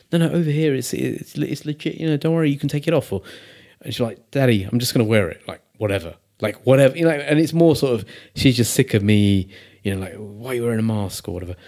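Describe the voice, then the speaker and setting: A very fast man's voice with medium pitch, lively intonation and a dark, mellow tone, on a very clean recording with a silent background. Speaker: podcast host. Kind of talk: casual chat.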